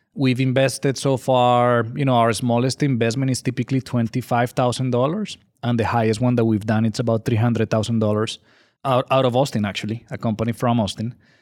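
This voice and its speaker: In a Colombian accent, a man talks fairly quickly at a medium pitch in a monotone, flat way, the sound dry and close with no echo in a very clean recording with a silent background. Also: very even loudness. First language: Spanish. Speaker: angel investor group director. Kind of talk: interview.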